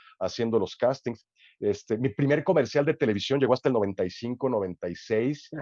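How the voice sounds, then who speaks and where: This man's voice has a dark, mellow tone at medium pitch with ordinary pitch variation, recorded dry and close with no echo. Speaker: sports announcer and commentator. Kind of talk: interview answer. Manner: casual, conversational.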